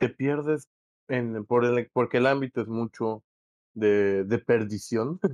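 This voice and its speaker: Very slow and with fairly even intonation, a man at a medium pitch speaks with a Mexican accent in a dry, close sound with no echo. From Mexico. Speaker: musician. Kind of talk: casual chat.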